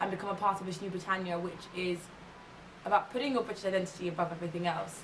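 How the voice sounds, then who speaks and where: Through noticeable background noise and audible room echo, a woman at medium pitch speaks at a very fast pace with fairly even intonation and long, frequent pauses. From England, London. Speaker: ethnographic researcher and policy consultant. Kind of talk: interview monologue.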